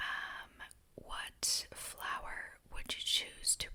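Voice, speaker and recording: A woman whispers at a very slow pace. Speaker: ASMR creator. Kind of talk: ASMR questionnaire answers while eating snacks. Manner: soft-spoken, whispering.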